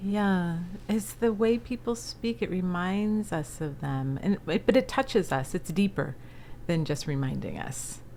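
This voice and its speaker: Speaking in an ordinary speaking voice with an American accent, a woman of fairly low pitch moves at a fairly slow pace with lively intonation. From US East Coast, Philadelphia area. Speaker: entrepreneur and speaker. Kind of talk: interview. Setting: podcast.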